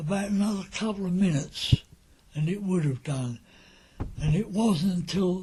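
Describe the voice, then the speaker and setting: Speaking at a moderate pace with long, frequent pauses, the voice has a dark, mellow tone and ordinary pitch variation. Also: man, high pitch for a man. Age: 80s+. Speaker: wartime eyewitness. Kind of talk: oral history recollection.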